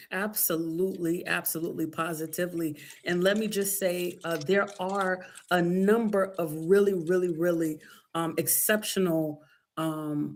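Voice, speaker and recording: A woman speaks in an unremarkable speaking voice, pitched fairly low. Her intonation stays fairly even at a moderate pace. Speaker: workshop moderator. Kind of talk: live webinar Q&A.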